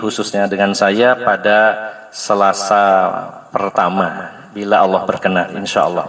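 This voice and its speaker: A man with a West Javanese accent talks at a fairly slow pace over noticeable background noise. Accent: Sundanese. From West Java (Sundanese). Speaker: Islamic preacher. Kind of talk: religious study lecture. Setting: religious gathering in a home, power outage.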